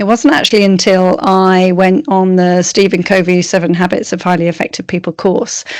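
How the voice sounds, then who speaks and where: A woman speaks with an English accent at medium pitch. Her pace is moderate. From England. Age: 50s. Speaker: strengths coach. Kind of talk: interview.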